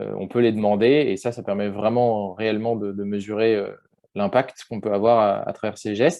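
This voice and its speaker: Using a plain, everyday voice, a man talks at a moderate pace with a fairly low pitch and fairly even intonation. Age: 20s. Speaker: workshop facilitator. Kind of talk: online workshop discussion.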